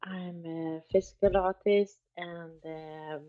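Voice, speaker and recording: A woman speaks with a Swedish accent and fairly even intonation. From Sweden. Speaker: artist and project co-founder. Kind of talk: casual chat. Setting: live X Space. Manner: halting.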